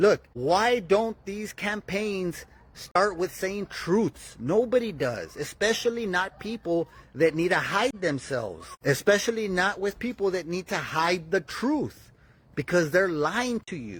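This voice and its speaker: Shouting loudly in an American accent, a man speaks at a fairly slow pace with a high pitch and lively intonation. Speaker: political podcast host. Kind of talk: live-stream commentary. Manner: loud, yelling.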